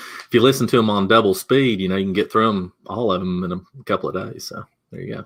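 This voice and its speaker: Speaking very fast with a Southern US accent, a man uses a fairly low pitch with ordinary variation. His loudness swings widely. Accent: Southern US twang. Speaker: digital marketing consultant. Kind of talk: webinar presentation.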